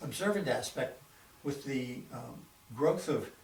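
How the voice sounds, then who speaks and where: With an American accent, a man speaks at a fairly slow pace. His pitch is fairly high. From Boston, Massachusetts. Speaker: retired doctor. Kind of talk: oral history interview answer.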